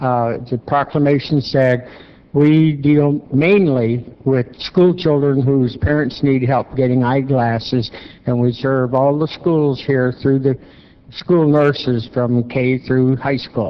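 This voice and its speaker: Amid noticeable background noise, a man speaks at a very slow pace and medium pitch, with very even loudness and fairly even intonation. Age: 80s+. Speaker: service club volunteer. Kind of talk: public remarks. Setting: city council meeting. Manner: halting.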